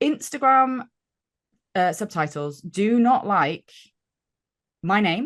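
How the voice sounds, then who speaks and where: Someone with a British accent speaks at a very slow pace with long, frequent pauses. The voice makes very wide pitch swings over a quiet background. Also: woman, medium pitch for a woman. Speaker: gamification consultant. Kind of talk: casual interview chat. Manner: chatty.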